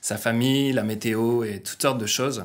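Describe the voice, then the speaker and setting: In a room with audible echo, a man speaks with a slight northern French accent. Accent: slight northern French (ch'ti). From northern France. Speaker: pastor. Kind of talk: sermon. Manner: halting, many fillers.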